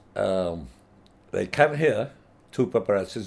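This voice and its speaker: This man has an unremarkable speaking voice, pitched fairly low, with lively intonation and a moderate pace. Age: 60s. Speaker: photographer. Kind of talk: interview storytelling.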